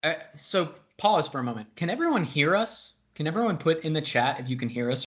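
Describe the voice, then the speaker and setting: A man speaks at a very fast pace. His pitch is fairly high and his intonation lively. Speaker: consulting director hosting webinar. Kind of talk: webinar panel discussion. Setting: video call webinar. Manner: loud.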